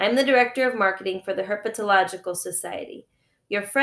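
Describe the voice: Background sound is quiet. The passage is plain reading aloud, its pitch varying in an ordinary way.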